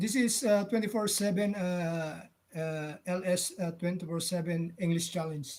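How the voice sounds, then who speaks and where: A man speaks with a high pitch and fairly even intonation. His pace is moderate. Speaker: vlogger. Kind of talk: casual live chat with viewers. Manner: halting.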